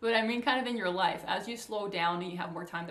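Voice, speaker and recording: A woman's voice with ordinary pitch variation, audible room echo, and noticeable background noise. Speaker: coach for highly sensitive people. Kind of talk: casual talk to camera. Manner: fast.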